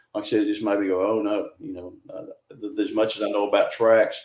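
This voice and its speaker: Speaking at a fairly quick pace, a man talks with a Southern US accent. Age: 60s. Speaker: cryptid field researcher. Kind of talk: podcast interview. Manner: casual, many fillers and restarts.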